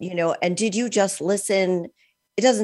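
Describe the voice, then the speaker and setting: In an ordinary speaking voice, a woman talks at a fairly quick pace with lively intonation. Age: 60s. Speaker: podcast host. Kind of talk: casual interview chat.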